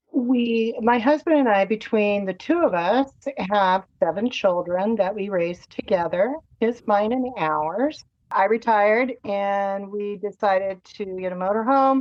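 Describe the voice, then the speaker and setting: A woman's normal speaking voice, medium in pitch with ordinary pitch variation, at a fairly slow pace. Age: 60s. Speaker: cancer survivor. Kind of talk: casual interview, personal story.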